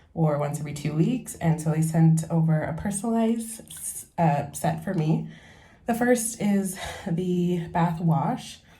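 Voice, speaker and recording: With audible room echo, a woman speaks at a very slow pace and a fairly low pitch. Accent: American. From San Francisco, California. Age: 20s. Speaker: lifestyle vlogger. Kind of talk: casual vlog talk. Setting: in a bath at home. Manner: relaxed, casual.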